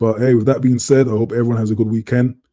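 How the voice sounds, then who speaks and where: The sound is dry and close, with no echo, as a man speaks at a medium pitch. His tone is dark and mellow, his intonation monotone and flat. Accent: London. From London, England. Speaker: live stream host. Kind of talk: casual live stream chat. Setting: live stream. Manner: relaxed.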